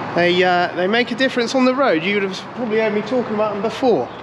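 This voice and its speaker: In an English accent, a man speaks in a relaxed tone with ordinary pitch variation over noticeable background noise. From England. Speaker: farmer and video creator. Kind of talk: casual vlog narration. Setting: outdoors and in a tractor cab. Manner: relaxed, chatty.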